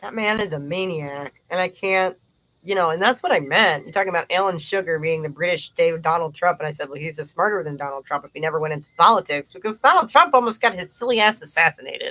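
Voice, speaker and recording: A woman with a Cleveland accent and a fairly low pitch talks at a very fast pace with hardly any pauses, a bright, sharp tone, lively intonation and big swings in loudness. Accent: Inland Northern US (Cleveland). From US Midwest, Cleveland, Ohio. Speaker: live streamer, commentator. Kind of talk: casual livestream chat. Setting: live stream.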